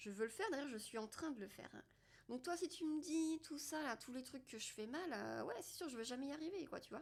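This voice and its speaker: The voice swings very widely in pitch while moving at a moderate pace. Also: woman. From France. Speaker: podcaster and personal development host. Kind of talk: casual monologue. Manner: hesitant, many fillers.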